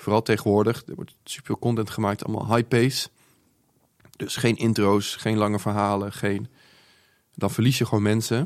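Pausing long and often, a man with a fairly low pitch talks at a moderate pace with fairly even intonation. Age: 20s. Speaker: social media entrepreneur. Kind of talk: casual interview. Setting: studio.

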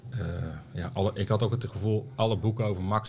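Talking at a very fast pace, a man has a fairly low, somewhat breathy voice. His intonation stays fairly even. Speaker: journalist and author. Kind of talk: casual chat.

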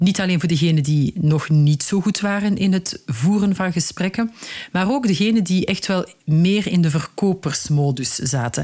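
A dark, mellow, somewhat breathy voice with lively intonation, very even loudness and a moderate pace. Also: woman, fairly low pitch for a woman. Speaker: career coach and podcast host. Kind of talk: solo advice podcast.

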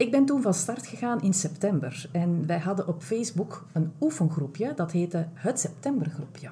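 Lively intonation in a Flemish accent at a moderate pace, hardly any pauses, noticeable background noise. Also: woman, fairly low pitch for a woman. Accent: Flemish Dutch. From Belgium (Flanders). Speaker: self-care and burnout coach, podcast host. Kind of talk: casual interview chat. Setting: large room, in person.

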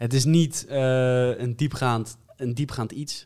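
A man's voice, medium in pitch, carries a dark, mellow tone. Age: 20s. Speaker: podcast host. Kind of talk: casual chat.

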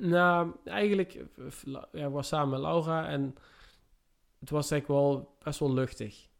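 Here a man talks with ordinary pitch variation. His voice sits fairly high. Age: 30s. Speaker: construction worker. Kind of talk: casual interview. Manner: halting.

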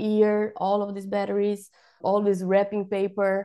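The voice has a dark, mellow tone and a Portuguese accent. It moves at a fairly slow pace against a quiet background. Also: woman. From Brazil. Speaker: professional organiser. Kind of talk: casual interview. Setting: remote call. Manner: halting, repeats words.

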